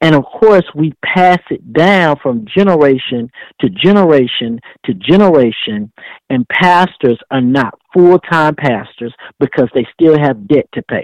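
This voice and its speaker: A man with a plain, everyday voice speaks at fairly high pitch and a fairly slow pace. His intonation is lively, and the sound is dry and close with no echo. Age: 30s. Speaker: pastor and entrepreneur. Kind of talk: preaching-style interview talk. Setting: radio show.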